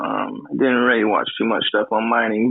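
Man at a moderate pace with fairly even intonation. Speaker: participant. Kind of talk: casual chat. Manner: halting.

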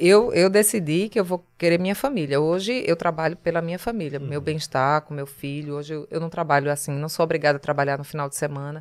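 Recorded very cleanly over a silent background, a woman with a Pernambuco accent speaks at a fairly quick pace in a very deep, low pitch, with ordinary pitch variation and big swings in loudness. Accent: northeastern Brazilian (Pernambuco). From Pernambuco Agreste, Brazil. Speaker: TV journalist. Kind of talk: casual chat.

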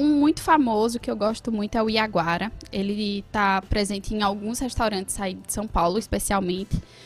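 At a moderate pace, a woman speaks in a somewhat breathy, fairly high-pitched voice. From Pernambuco agreste, Brazil. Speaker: chef. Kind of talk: casual interview.

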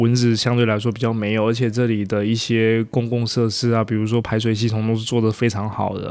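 A man of medium pitch, flat and monotone, at a fairly quick pace with hardly any pauses. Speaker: podcast guest, working holiday resident. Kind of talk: casual chat.

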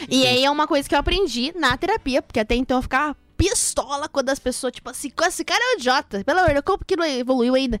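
A woman with a high pitch and lively intonation at a very fast pace, with hardly any pauses. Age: 20s. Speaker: social media content creator. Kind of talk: casual chat. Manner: talkative.

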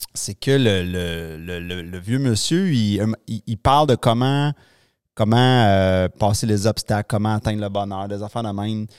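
In a Quebec accent, the speaker talks at a fairly slow pace with ordinary pitch variation, in a very clean recording with a silent background and a dry, close sound with no echo. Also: man, fairly low pitch for a man. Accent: Québécois French. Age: 40s. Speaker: podcast host. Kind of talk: casual interview chat. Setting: studio. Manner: halting.

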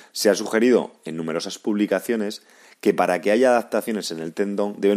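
This is a normal speaking voice on a very clean recording with a silent background. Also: man. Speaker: physiotherapist and podcast host. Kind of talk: scripted narration. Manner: formal.

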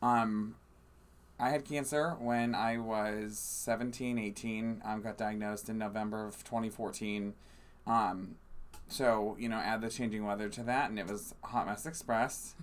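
Fairly even intonation from a man at medium pitch and a fairly slow pace. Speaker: podcast co-host. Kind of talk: casual chat. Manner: loud.

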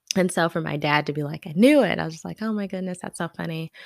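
Very deep and low, a woman's voice moves at a fairly quick pace. The recording is very clean with a silent background, dry and close with no echo. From US South. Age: 30s. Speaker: podcast host. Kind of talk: personal storytelling monologue. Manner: hesitant, frequent ums.

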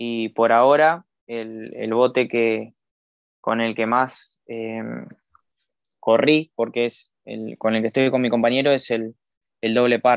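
A man at a medium pitch talks very slowly in a flat monotone, with long, frequent pauses. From Argentina, Campana, Buenos Aires province. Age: 20s. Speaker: para-athlete, swimmer and rower. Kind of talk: interview. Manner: halting, many fillers and repetitions.

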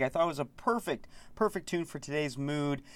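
A fairly high-pitched male voice with an upbeat, warm tone, moderate pace and ordinary pitch variation, on a very clean recording with a silent background. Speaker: college radio host. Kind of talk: radio DJ patter. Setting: radio studio broadcast. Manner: upbeat, warm, animated, with filler words; enthusiastic, grateful sign-offs.

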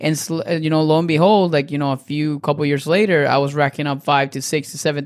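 A man with a Spanish accent, fairly high pitch and fairly even intonation, at a very fast pace. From Venezuela, Caracas. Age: 30s. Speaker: dietitian and nutrition coach. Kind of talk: casual interview.

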